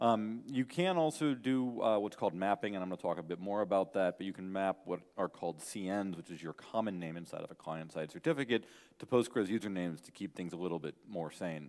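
At a fairly quick pace with hardly any pauses, a man talks in a fairly low pitch over a quiet background. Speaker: conference speaker. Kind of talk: lecture. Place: hall.

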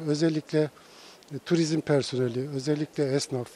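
Over light background noise, a man talks at a very slow pace and a fairly high pitch with fairly even intonation, the sound dry with no echo. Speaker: retired tourism manager. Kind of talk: street interview opinion. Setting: outdoors. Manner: halting. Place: street. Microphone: handheld.

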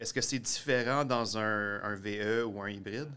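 The tone is bright and sharp. Pitch variation stays ordinary. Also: man. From eastern Ontario. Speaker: science video producer and host; host. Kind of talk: casual explainer chat. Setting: garage. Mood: curious, friendly. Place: garage.

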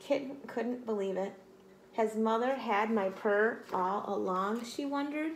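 What we hear is plain reading aloud.

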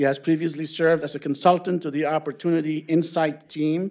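Here a man speaks at a very fast pace. His intonation is fairly even. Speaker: center director introducing speaker. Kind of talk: formal introduction. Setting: stage with audience. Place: hall. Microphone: podium.

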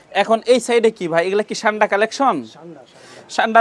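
This man's intonation is lively. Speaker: shoe wholesale vlogger. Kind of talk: casual market vlog with shopkeeper. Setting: shoe shop in a trade center.

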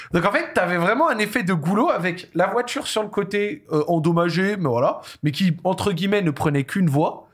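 A high-pitched man talks at a moderate pace with hardly any pauses and very even loudness. His intonation is lively, and the background is quiet. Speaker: talk show host. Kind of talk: casual interview. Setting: studio. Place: studio. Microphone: studio mic.

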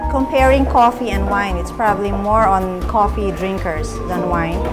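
Clear background music behind a woman speaking at a moderate pace. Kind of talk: interview answer. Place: cafe.

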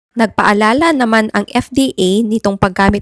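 In a normal speaking voice, a woman talks at a fairly slow pace with fairly even intonation, the sound dry and close with no echo. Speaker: doctor giving health advice. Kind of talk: health advice video.

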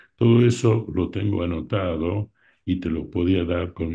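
A very slow pace against a quiet background. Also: man. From Argentina. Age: 80s+. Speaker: art collector and opera enthusiast; interviewee. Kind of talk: interview reminiscence. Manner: halting. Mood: reminiscing, warm. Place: home room. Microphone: video call.

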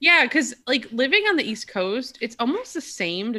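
A woman's bright, sharp tone with an American accent and very wide pitch swings, over light background noise. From small-town Wisconsin. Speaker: visual designer; podcast guest or host. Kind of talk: casual chat. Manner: animated. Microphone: video call.

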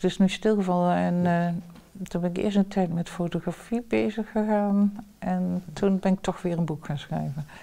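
A woman speaks in a dark, mellow tone. Her pace is fairly slow, with ordinary pitch variation. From southern Netherlands, Limburg; Netherlands. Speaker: professor. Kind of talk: interview. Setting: at home. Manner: talkative. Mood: calm, reflective, smiling. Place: home room.

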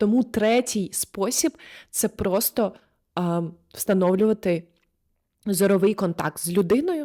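A woman with a medium-pitched, dark, mellow voice and ordinary pitch variation speaks at a very slow pace with long, frequent pauses. The sound is dry and close with no echo, on a very clean recording with a silent background. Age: 20s. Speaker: video blogger and body-oriented therapist. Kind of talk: casual advice monologue. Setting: recorded on the spot.

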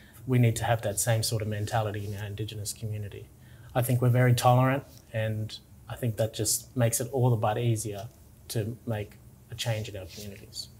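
A man's somewhat breathy, medium-pitched voice in an Australian accent, monotone and flat at a fairly quick pace, with light background noise. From Tingha, New South Wales, Australia. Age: young. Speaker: interviewee. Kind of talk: interview answer. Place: office. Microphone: lapel.

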